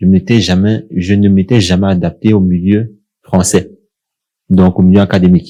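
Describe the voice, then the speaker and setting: A man with a Cameroonian accent speaks at a moderate pace in a very deep, low, dark, mellow voice, monotone and flat, with very even loudness and long, frequent pauses. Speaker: young professional sharing experience. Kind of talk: casual podcast discussion.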